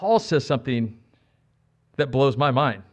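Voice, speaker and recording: At a moderate pace, a man with an American accent and a fairly high pitch uses a normal speaking voice against a quiet background. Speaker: pastor. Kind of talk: sermon. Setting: church.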